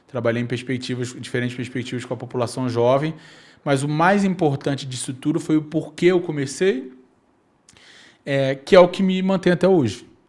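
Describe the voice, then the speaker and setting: With a Rio de Janeiro accent, a man talks at a moderate pace with fairly high pitch and ordinary pitch variation. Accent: carioca (Rio de Janeiro). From Brazil, Rio de Janeiro (Nova Iguaçu, Baixada Fluminense). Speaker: youth policy leader. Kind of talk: podcast interview. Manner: hesitant fillers.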